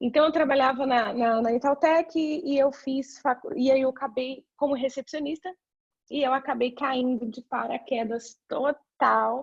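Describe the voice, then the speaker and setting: Speaking with a high pitch, a woman keeps a moderate pace and ordinary pitch variation. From Brazil, São Paulo. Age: 30s. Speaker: career mentor. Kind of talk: presentation talk. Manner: halting.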